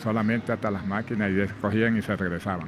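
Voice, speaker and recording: A man's fairly low voice carries at a moderate pace while noticeable background noise sits underneath. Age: 60s. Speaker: former plantation worker. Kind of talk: testimony.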